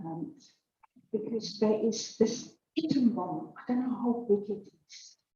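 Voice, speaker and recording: A woman speaks in a fairly high, somewhat breathy voice with a dark, mellow tone. Her pitch varies in an ordinary way. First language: Afrikaans. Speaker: church member giving testimony. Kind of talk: testimony. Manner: slow; halting.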